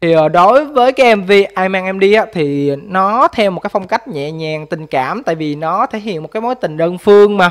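A man with a Mekong Delta accent and a high pitch speaks at a moderate pace with lively intonation. He leaves hardly any pauses, and the background is quiet. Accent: southern Vietnamese, Mekong Delta. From Mekong Delta, Vinh Long; Mekong Delta, Vietnam. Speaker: vlogger, factory worker; vlogger commenting on a music video. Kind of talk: music video review vlog. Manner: hesitant, many fillers. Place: home room. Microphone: studio mic.

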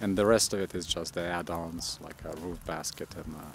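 A man talks at a fairly slow pace with a very deep, low pitch. Music plays in the background, and the sound is dry with no echo. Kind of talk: casual spoken commentary on vehicle specs.

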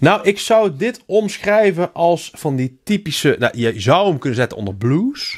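A man talks at a high pitch and a fairly slow pace, with very wide pitch swings and hardly any pauses. The background is quiet. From Helmond, North Brabant, Netherlands. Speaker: podcast co-host. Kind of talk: casual chat. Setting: studio. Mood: relaxed, drinking beer. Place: studio. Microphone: studio mic.

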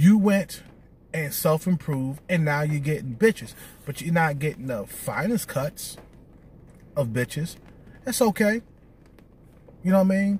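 A man at a fairly high pitch with lively intonation, a moderate pace and long, frequent pauses, in a dry sound with no echo. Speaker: video blogger giving dating advice to men. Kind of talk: angry rant, scolding lecture aimed at viewers. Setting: solo video. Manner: blunt, confrontational, hammering repeated points; loud, aggressive, contemptuous and profane. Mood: lecturing, scolding. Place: car. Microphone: phone near.

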